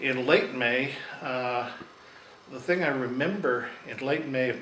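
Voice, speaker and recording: Speech comes at a very slow pace with ordinary pitch variation. The room echo is audible, and background noise is noticeable. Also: man. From Oregon, US. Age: 60s. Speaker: interviewee recalling history. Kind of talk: oral history interview. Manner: halting, many fillers.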